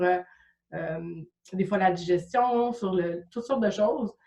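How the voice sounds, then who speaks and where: The voice has a dark, mellow tone and a Quebec accent. It moves at a fairly slow pace. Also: woman. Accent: Québécois French. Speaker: Reiki practitioner and coach. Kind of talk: interview. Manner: hesitant, many fillers.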